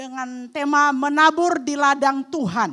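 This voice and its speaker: A high-pitched woman's voice, bright and sharp, with an animated tone. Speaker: guest preacher. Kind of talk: sermon. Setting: church.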